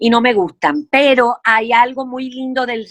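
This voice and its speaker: A woman speaks very slowly with a fairly high pitch. The sound is dry and close with no echo. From Puerto Rico. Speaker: actress and playwright. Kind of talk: interview answer.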